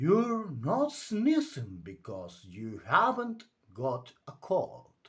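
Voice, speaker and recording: A man's put-on character voice, high-pitched, at a very slow pace. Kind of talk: bedtime story. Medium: read story. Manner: brisk, slightly pompous.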